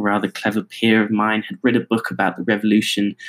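A man with an American accent speaks at a fairly quick pace in a fairly low pitch and a monotone, flat intonation, the sound dry and close with no echo. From United States, raised by English parents. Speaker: student podcaster. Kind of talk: personal monologue. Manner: halting.

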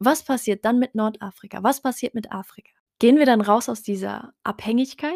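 A woman speaks at a moderate pace in a fairly high pitch, with lively intonation. The sound is dry and close, with no echo. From Germany, Heidelberg. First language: Tarifit (speaking German). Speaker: podcast host. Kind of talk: solo monologue podcast. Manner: casual, many filler sounds.

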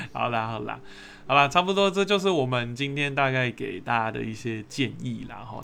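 Speaking in a Taiwanese accent, a man uses a medium pitch, ordinary pitch variation and a moderate pace. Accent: Taiwanese Mandarin. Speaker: podcast host. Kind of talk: casual chat.

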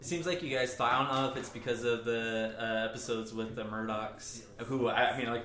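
Talking at a fairly quick pace, a man with a medium pitch keeps a fairly even intonation against noticeable background noise. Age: 30s. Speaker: podcast host guest. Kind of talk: casual chat.

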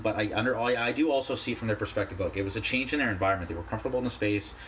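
The voice belongs to a man with a medium pitch and ordinary pitch variation. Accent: Canadian. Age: 20s. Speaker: podcast host. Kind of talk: solo vlog-style monologue. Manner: halting, many fillers and restarts.

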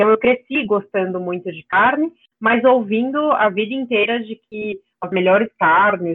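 With a plain, everyday voice, a woman talks at a moderate pace at medium pitch with ordinary pitch variation. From São Paulo, Brazil. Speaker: nutrition student and carnivore diet advocate. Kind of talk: interview conversation.

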